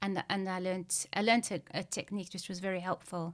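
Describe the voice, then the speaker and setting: A woman speaks fairly quickly in a flat monotone. The recording is very clean, with a silent background. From Zimbabwe. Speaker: activist and photographer. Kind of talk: interview. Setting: podcast. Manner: stammer, mostly managed; hesitant, many fillers.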